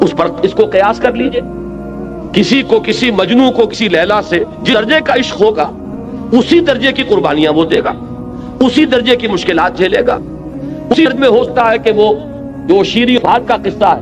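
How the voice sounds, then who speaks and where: Music plays behind a man with a high pitch. His intonation is lively. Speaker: Islamic scholar giving a religious lecture. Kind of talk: religious lecture (bayan) to an audience.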